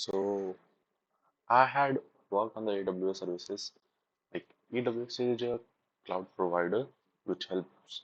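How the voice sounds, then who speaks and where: A man speaks rather slowly, his pitch rising and falling in a normal way. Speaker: self-taught speaking practice vlogger. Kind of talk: reading aloud. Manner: halting.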